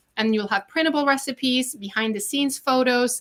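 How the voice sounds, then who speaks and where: At a fairly quick pace, a woman speaks with a Norwegian accent. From Norway. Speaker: chef and online cooking teacher. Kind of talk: sales pitch. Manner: casual with frequent fillers.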